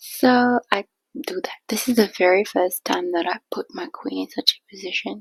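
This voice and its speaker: Soft-spoken and whispering, a woman talks at a fairly slow pace with big swings in loudness. The sound is dry and close, with no echo. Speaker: chess streamer. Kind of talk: game commentary. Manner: whispered, soft; casual, chatty.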